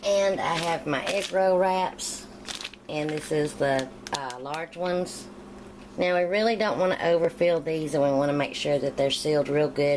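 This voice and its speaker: At a moderate pace, a woman with an American accent talks in a very deep, low voice with ordinary pitch variation over noticeable background noise. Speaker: home cooking youtuber. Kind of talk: cooking tutorial. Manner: casual.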